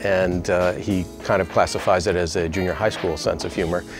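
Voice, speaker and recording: With clear music in the background, a man speaks at a moderate pace in a fairly low pitch, the sound dry with no echo. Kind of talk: interview answer. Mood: warm, admiring, lightly humorous. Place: office. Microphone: lapel.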